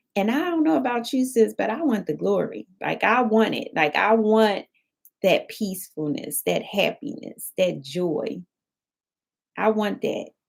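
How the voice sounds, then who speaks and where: This voice moves at a fairly slow pace with vocal fry and very wide swings in pitch. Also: woman, fairly high pitch for a woman. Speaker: motivational speaker. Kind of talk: inspirational live stream talk. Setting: live stream. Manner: soft-spoken; animated.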